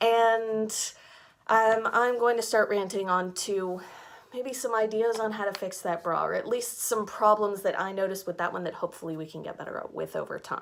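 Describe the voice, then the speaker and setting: In an American accent, a woman with a fairly high pitch talks at a moderate pace with fairly even intonation in an unremarkable speaking voice. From United States. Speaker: fashion subscription box reviewer. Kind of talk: casual rant.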